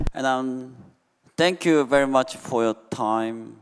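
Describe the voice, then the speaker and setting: A man speaks with a Korean accent. His intonation is lively. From South Korea. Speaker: conference panelist. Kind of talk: panel discussion remarks. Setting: conference hall with audience. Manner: halting, many fillers.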